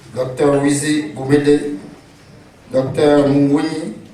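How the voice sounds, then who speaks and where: Amid noticeable background noise and audible room echo, a man speaks at a very slow pace and a fairly high pitch. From Cameroon. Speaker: session chair. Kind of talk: moderating introductions. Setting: conference with audience.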